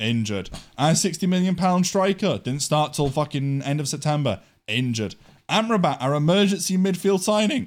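A man with an English accent speaks at a fairly quick pace and a fairly high pitch. His pitch swings very widely, and the recording is very clean with a silent background. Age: 20s. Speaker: podcast host. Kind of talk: casual chat. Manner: animated.

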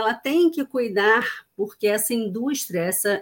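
Moderately paced, a woman with fairly high pitch has an unremarkable speaking voice and ordinary pitch variation. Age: 40s. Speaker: diversity and inclusion consultant. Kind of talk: casual interview.

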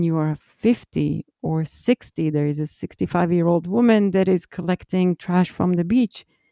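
Ordinary pitch variation shapes a woman's fairly low-pitched voice. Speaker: podcast host. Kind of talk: interview. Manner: enthusiastic.

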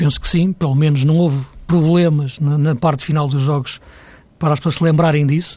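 Speaking at a very fast pace, a man with a fairly high pitch uses fairly even intonation, his voice somewhat breathy with a dark, mellow tone. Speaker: football pundit. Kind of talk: casual chat.

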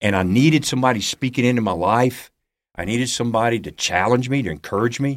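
The recording is very clean, with a silent background. The speaker talks at a very fast pace with an Alabama accent. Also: man. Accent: Southern US (Alabama). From US South, Alabama (Huntsville). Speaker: pastor and ministry founder. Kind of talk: testimony.

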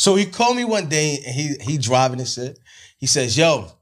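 Somewhat breathy and fairly high-pitched, a man with an American accent speaks with very wide pitch swings. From New Jersey, East Orange. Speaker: studio owner. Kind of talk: casual chat.

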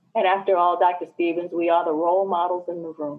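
A woman with an American accent speaks at a fairly quick pace and a fairly low pitch. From New Jersey. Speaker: education professor and assistant dean. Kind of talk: interview conversation.

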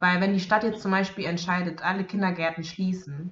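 This woman's somewhat breathy voice sits fairly low in pitch, with fairly even intonation. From Bavaria, Germany. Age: 20s. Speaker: social work student and daycare worker. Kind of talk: casual interview chat.

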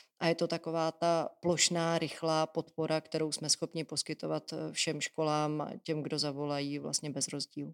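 A woman's very deep, low voice, monotone and flat, at a moderate pace with hardly any pauses, dry and close with no echo on a very clean recording with a silent background. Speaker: deputy education minister, teacher. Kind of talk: interview. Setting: office at a ministry.

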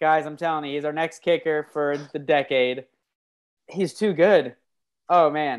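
Delivery is fairly slow, broken by long, frequent pauses. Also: woman, very deep, low pitch for a woman. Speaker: podcast host. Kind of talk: casual sports banter. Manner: excitable, hyped.

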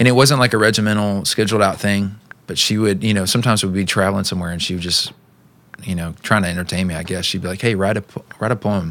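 A man talks very fast, his fairly low voice holding a fairly even intonation. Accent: Texan. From East Texas. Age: 30s. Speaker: musician. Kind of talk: casual chat.

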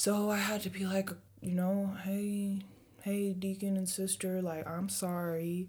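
A woman speaks in a flat monotone at medium pitch, her tone dark and mellow. Her voice is somewhat breathy and her loudness very even. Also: fairly slow pace. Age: 20s. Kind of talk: casual faith discussion.

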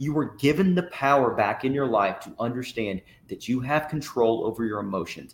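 A man with an East Tennessee accent talks at a fairly quick pace and medium pitch, with lively intonation. His loudness swings in big jumps. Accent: Southern US (East Tennessee). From Tennessee–Georgia state line, US South. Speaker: army veteran. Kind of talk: interview testimony.

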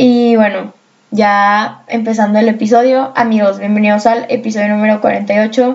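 Somewhat breathy and fairly high, a woman's voice carries a Mexican accent and a monotone, flat intonation. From Mexico. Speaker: podcast host and student. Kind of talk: casual monologue. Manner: chatty, with fillers and laughter.

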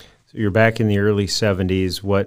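This man's fairly low voice moves at a fairly slow pace with a monotone, flat delivery. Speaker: podcast host. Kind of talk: casual interview. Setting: video call.

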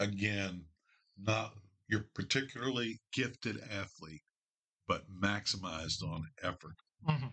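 Speaking at a fairly slow pace with long, frequent pauses, a man uses a fairly low pitch, ordinary pitch variation and a bright, sharp tone. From Northern Kentucky (Cincinnati area). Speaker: sports fan guest. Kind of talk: casual chat.

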